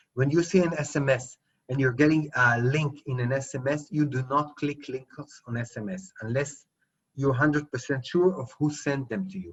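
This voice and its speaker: A man talks with a fairly high pitch and ordinary pitch variation. His voice is somewhat breathy. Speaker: cyber security lecturer. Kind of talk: lecture. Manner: fast.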